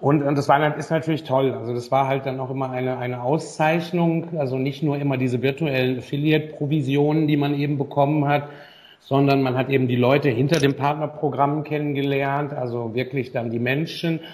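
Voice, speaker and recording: A man talks at a fairly quick pace with a fairly high pitch. His intonation stays monotone and flat. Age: 40s. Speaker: online marketing consultant. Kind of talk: interview. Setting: Skype call.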